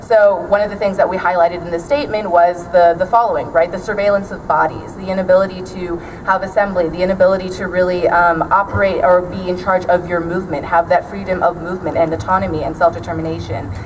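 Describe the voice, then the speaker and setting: The speech comes at a very fast pace with fairly even intonation. Noticeable background noise sits behind it. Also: woman, medium pitch for a woman, hardly any pauses. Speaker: student activist. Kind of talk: rally speech. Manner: loud.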